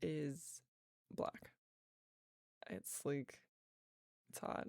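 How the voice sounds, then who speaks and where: Speaking at a very slow pace, a woman leaves long, frequent pauses. Her tone is relaxed, with ordinary pitch variation. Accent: slight Southern US. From US South. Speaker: voice actor. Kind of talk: casual Q&A chat.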